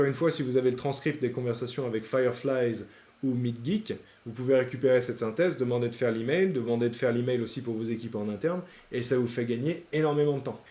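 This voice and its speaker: Delivery is very fast. The voice has a dark, mellow tone. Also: man, medium pitch for a man, ordinary pitch variation. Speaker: AI sales trainer / YouTuber. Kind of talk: tutorial.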